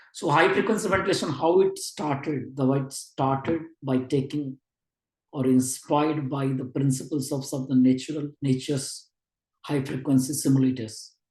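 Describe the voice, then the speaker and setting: This man's voice is fairly high for a man and somewhat breathy. He keeps a moderate pace with fairly even intonation. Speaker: neonatology lecturer. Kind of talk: online lecture. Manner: halting.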